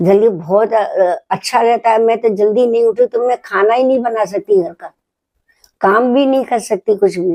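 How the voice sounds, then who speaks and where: The woman's pitch is fairly high, with ordinary variation and a dark, mellow tone. The sound is dry and close, with no echo. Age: 80s+. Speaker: grandmother sharing wellness routine. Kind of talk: casual interview chat.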